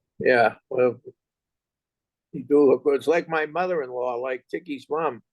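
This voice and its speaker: With a Boston accent, a man speaks at a moderate pace, the sound dry and close with no echo. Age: 70s. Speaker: interviewer. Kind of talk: interview.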